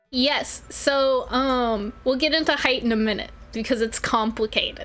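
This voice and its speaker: With an American accent, a woman speaks at a fairly slow pace with very even loudness. Her pitch is high, with ordinary variation. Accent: southern US, varies in strength. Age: 20s. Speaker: vtuber streamer. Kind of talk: casual live stream chat. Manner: animated.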